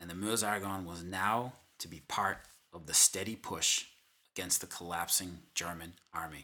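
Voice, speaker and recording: In a Boston accent, a man talks at a moderate pace. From Boston area, Massachusetts. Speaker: history podcast host. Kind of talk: scripted narration.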